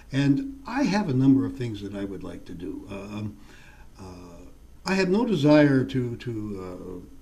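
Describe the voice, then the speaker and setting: Amid noticeable background noise and audible room echo, a man with a medium pitch talks at a fairly slow pace, with very wide pitch swings and big swings in loudness. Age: 70s. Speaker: politician. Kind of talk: interview. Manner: halting, many fillers.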